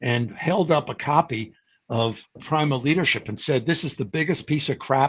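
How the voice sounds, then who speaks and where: The voice is a man's and somewhat breathy. It moves at a moderate pace. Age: 70s. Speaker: psychology professor and researcher. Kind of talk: interview. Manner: conversational with fillers.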